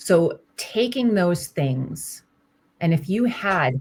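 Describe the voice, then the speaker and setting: Her voice comes across as somewhat breathy. It belongs to a woman. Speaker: career coach. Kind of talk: one-on-one coaching call.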